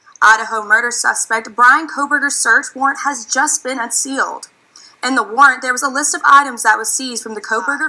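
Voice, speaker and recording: In a raised, projected voice with an American accent, a woman speaks at a high pitch and a fairly quick pace, with ordinary pitch variation. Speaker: student broadcast journalist, news anchor. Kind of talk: TV news anchor reading.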